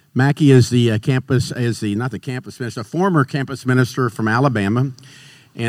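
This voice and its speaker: A man's plain, everyday voice, medium in pitch, with ordinary pitch variation and a fairly quick pace. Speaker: minister. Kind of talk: introduction and opening prayer. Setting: stage with audience.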